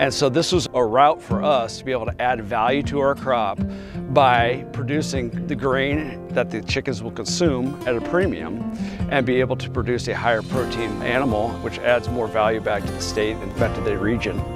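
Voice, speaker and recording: Speaking at a moderate pace with lively intonation, a man with a medium-pitched voice and a Midwestern American accent is heard over music in the background. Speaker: farmer. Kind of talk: interview answer. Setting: outdoors.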